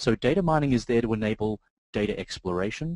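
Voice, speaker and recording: Speaking at a fairly quick pace with an Australian accent, a man uses a fairly low pitch with ordinary variation, recorded with a dry, close sound and no echo. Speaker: software trainer, database consultant. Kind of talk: webinar presentation. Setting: online webinar. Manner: hesitant with filler words.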